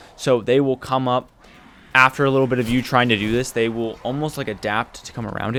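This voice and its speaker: A man talks quietly at a very fast pace. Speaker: gaming youtuber. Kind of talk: tutorial voiceover. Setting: at home late at night. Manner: casual.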